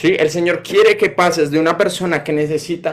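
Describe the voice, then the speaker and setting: A man's voice, high in pitch. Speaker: preacher. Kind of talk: sermon.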